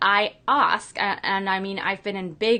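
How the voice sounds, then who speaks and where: A woman speaks with a non-native accent over noticeable background noise. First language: not English. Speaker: business coach and show host. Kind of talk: interview. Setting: live stream video call.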